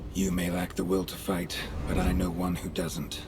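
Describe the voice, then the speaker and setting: Over loud background noise, a man does a put-on character voice at a moderate pace with a very deep, low pitch. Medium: video game. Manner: terse, clipped.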